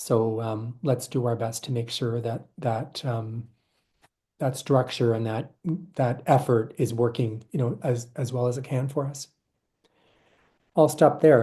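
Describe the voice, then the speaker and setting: A man's dark, mellow, somewhat breathy voice at a medium pitch, fairly slow with long, frequent pauses and fairly even intonation. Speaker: board member and governance presenter. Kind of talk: presentation. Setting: virtual session.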